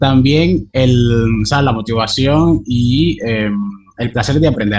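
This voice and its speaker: This man's voice is somewhat breathy, sitting at a medium pitch with ordinary pitch variation. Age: 20s. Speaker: translator and interpreter, language learner. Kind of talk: interview conversation. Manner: hesitant, many fillers.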